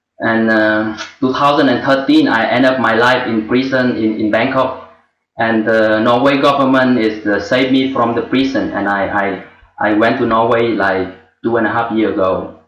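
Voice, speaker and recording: Audible room echo surrounds a man speaking at a moderate pace and medium pitch. His intonation stays fairly even and his loudness very even. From Vietnam, rural village. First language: Vietnamese. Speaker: former journalist and refugee, webinar student. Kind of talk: personal testimony. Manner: halting.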